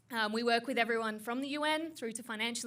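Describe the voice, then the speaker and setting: A woman with an Australian accent, plus audible room echo. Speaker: tech founder. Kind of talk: panel discussion. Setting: stage with audience.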